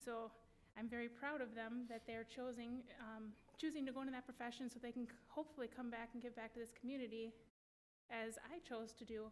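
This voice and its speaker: Fairly quick and flat, the speech comes in a monotone with a Wisconsin accent. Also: woman, high pitch for a woman. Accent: Upper Midwest (Wisconsin). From Wisconsin (West Allis, Milwaukee area). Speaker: school board candidate. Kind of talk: candidate forum statement.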